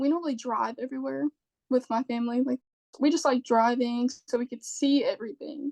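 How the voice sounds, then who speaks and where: In an American accent, a woman talks at a fairly quick pace with a high pitch, a dark, mellow tone and fairly even intonation, in a dry, close sound with no echo. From Jacksonville, Florida. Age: 20s. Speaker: Western fashion influencer. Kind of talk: podcast interview answer. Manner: fast.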